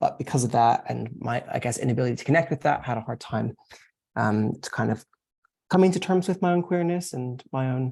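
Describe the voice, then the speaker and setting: Somewhat breathy, a man talks at a fairly quick pace and medium pitch with lively intonation. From US South. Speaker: panellist. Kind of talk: panel discussion. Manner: halting, many fillers.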